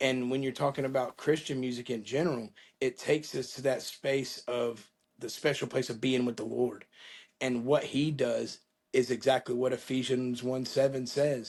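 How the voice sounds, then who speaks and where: Here a man speaks in a flat monotone with an American accent. His pitch is medium. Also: moderate pace. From Florida, Panama City. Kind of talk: interview.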